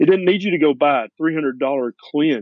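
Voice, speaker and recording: A man in a Tennessee accent at a fairly quick pace. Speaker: family physician. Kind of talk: interview.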